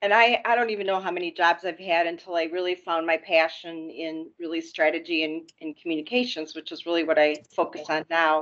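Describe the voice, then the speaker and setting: Hers is an unremarkable speaking voice: a woman with an American accent, a fairly low pitch and fairly even intonation, talking at a fairly quick pace with hardly any pauses. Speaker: healthcare executive. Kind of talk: panel discussion introduction.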